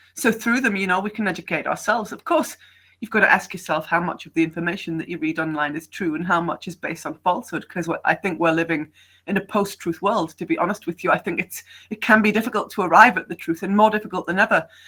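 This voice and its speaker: Speaking at a very fast pace, a woman with a British accent has a bright, sharp tone, a medium pitch and ordinary pitch variation. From Britain. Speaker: online English tutor. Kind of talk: casual conversation on video call.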